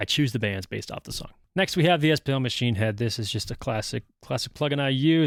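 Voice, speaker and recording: A man's medium-pitched voice at a fairly quick pace, lively intonation, on a very clean recording with a silent background. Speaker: music producer. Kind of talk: tutorial. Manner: casual, with many fillers; loud.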